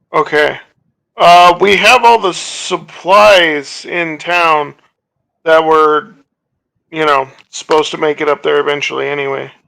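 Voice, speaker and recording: A man puts on a character voice, pitched fairly high. He speaks at a fairly slow pace with long, frequent pauses. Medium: actual play. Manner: casual, plain-spoken.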